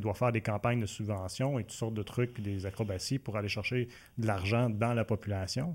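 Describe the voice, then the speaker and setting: On a very clean recording with a silent background, a man with a Quebec accent talks at a fairly quick pace, medium in pitch with ordinary pitch variation. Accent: Québécois French. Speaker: community TV interview host. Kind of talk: casual interview. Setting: studio with camera.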